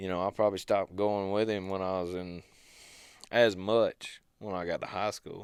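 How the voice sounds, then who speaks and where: Here a man with an American accent speaks at a moderate pace in a fairly low pitch, with monotone, flat intonation, on a very clean recording with a silent background. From US South, Georgia, near Athens. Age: 20s. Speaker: hunting videographer. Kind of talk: interview, casual chat. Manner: low-key, easy-going.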